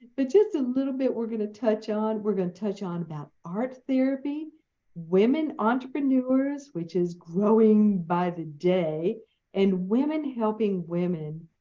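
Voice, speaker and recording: A woman's fairly high, warm and enthusiastic voice with a Southern US accent, lively intonation and a fairly slow pace. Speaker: podcast host. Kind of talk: interview introduction. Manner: warm, enthusiastic.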